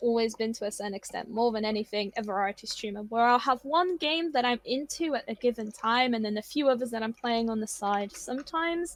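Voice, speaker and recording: A Polish accent at a fairly quick pace with ordinary pitch variation. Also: woman. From Poland. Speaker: twitch streamer. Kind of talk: casual chat. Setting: live stream. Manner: halting.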